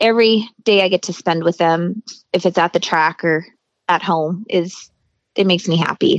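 A woman with an American accent has an unremarkable speaking voice, fairly low in pitch, with fairly even intonation. She talks at a moderate pace in a dry, close sound with no echo. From Colorado and southern California high desert. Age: 40s. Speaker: motocross mom. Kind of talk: casual interview.

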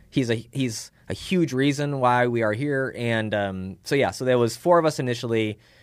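On a very clean recording with a silent background, a man with a plain, everyday voice speaks at a moderate pace, his medium pitch moving with ordinary variation. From Chicago, US Midwest. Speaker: tech startup founder. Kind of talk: casual interview. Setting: in person.

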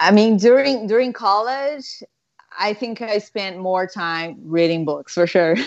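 A woman speaks at medium pitch with a Portuguese accent. Her intonation is lively and her pace fairly slow. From Brazil, São Paulo. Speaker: guitarist. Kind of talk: casual interview.

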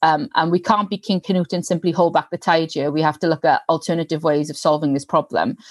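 Against a quiet background, a woman speaks at a very fast pace with hardly any pauses, a fairly low pitch and ordinary pitch variation. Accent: South Wales Valleys. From South Wales Valleys, Pontypridd. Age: young. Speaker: member of parliament. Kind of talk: interview.

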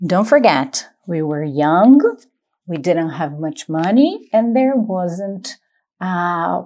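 In a very clean recording with a silent background, a woman with a Brazilian accent speaks very slowly at a medium pitch, making very wide pitch swings. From Brazil, São Paulo state. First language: Portuguese. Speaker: podcaster sharing travel stories. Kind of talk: personal storytelling monologue. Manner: casual, with hesitations.

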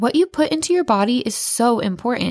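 A woman with a plain, everyday voice, fairly high in pitch, with lively intonation at a moderate pace in a dry, close sound with no echo. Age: 30s. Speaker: podcast host and clinical nutritionist. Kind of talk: solo motivational podcast monologue.

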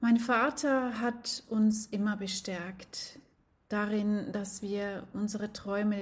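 Somewhat breathy, a woman speaks with fairly even intonation. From Switzerland. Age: 40s. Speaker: life coach. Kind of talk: personal storytelling monologue.

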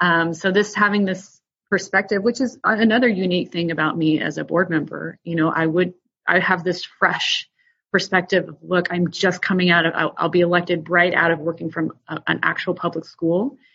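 A woman with an American accent in an ordinary speaking voice, fairly low in pitch, with fairly even intonation. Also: moderate pace. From outside the US. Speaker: school board candidate. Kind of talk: interview.

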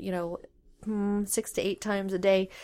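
In a very clean recording with a silent background, a woman with a Canadian Prairie accent talks at a moderate pace in a medium pitch, her intonation monotone and flat. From Saskatchewan, Canada. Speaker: curling club communications director. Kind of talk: casual interview. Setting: curling club.

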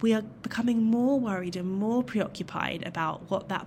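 A woman speaks in an English accent. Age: 30s. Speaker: dog trainer and clinical psychologist. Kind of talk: solo podcast talk.

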